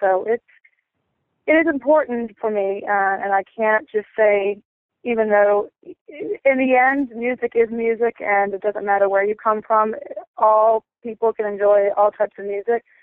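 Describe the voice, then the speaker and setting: A woman speaks at a moderate pace with a medium pitch. Her pitch variation is ordinary, and she has an ordinary speaking voice. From North Carolina, US. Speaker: musician. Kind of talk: interview. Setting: phone call.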